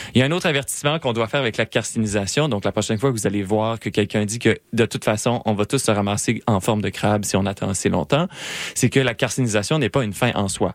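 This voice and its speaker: Here a man talks at a very fast pace in a fairly low pitch with ordinary pitch variation. The sound is dry and close, with no echo. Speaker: science popularization radio co-host. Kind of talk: casual science chat on radio.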